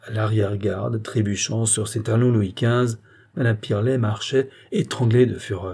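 With fairly even intonation, the text is delivered in a natural reading voice.

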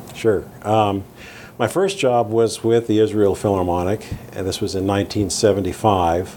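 A man with an American accent speaks at a fairly slow pace and fairly low pitch, with fairly even intonation, long, frequent pauses and noticeable background noise. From US, Southern California (Downey). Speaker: orchestral tuba player. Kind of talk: interview. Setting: in person, Midtown Manhattan.

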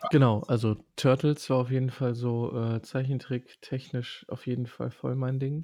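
A man's fairly slow, monotone delivery with flat intonation, medium pitch, a dark, mellow tone, and hardly any pauses. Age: 30s. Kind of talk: casual chat.

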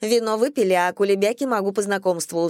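Someone is reading aloud in a natural voice. The pitch moves in an ordinary way.

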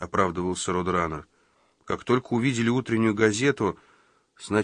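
Against a quiet background, the speaker uses a natural reading voice with ordinary pitch variation.

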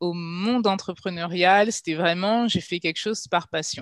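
Here a woman has an unremarkable speaking voice at medium pitch with ordinary pitch variation, talking at a fairly slow pace. The recording is very clean, with a silent background. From Paris region, France (Guadeloupean family). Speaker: children's book publisher. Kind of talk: interview.

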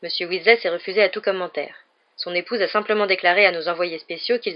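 The pitch varies in an ordinary way during plain reading aloud.

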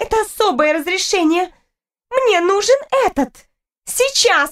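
A woman uses a put-on character voice with an extremely high pitch and a fairly bright tone, speaking at a fairly slow pace with lively intonation on a very clean recording with a silent background.

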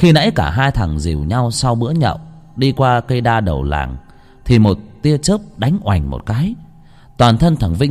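This is an unforced reading voice. It comes across as an unforced reading voice throughout.

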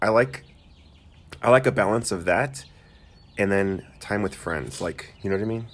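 Showing vocal fry and lively intonation, a man with a fairly low pitch keeps a moderate pace broken by long, frequent pauses. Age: 30s. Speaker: podcast co-host, teacher. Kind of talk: casual chat.

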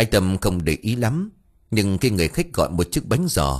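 Reading done in an unforced voice

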